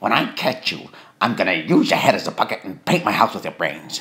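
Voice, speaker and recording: A cartoonish character voice delivers lines in a menacing tone at a fairly quick pace. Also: man. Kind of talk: cartoon voice impression. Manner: menacing, hot-tempered.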